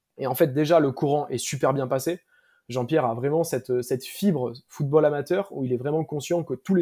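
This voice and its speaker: Speaking at a moderate pace, a man has a dark, mellow tone and a fairly high pitch that varies in an ordinary way. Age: 20s. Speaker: startup founder. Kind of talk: interview. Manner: halting, many fillers.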